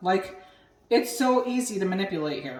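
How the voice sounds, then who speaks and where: A woman's lively intonation rings out with audible room echo. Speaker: home cooking and cocktail video host. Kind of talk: casual cooking tutorial. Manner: loud.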